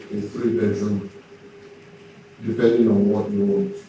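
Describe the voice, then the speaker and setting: There is noticeable background noise behind a man's voice. His pitch is medium with ordinary variation. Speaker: entrepreneur giving a conference talk. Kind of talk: conference speech on entrepreneurship.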